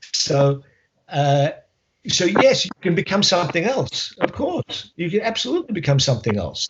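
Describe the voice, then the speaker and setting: A man with an Australian accent, somewhat breathy, at a moderate pace with lively intonation. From Australia, Melbourne. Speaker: history professor. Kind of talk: interview. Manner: halting.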